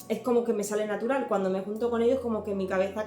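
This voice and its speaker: A woman speaks in a slight Cuban accent at a fairly high pitch, with ordinary pitch variation. Music plays in the background, and the room echo is audible. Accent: slight Cuban accent, often taken for Canarian. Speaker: home and cleaning youtuber. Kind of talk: Q&A vlog. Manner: hesitant, many fillers.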